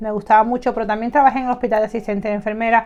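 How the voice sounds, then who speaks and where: A woman is speaking. Her pitch sits fairly high. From Cuba. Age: 30s. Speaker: tarot reader. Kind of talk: personal storytelling to viewers. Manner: fast; talkative, animated.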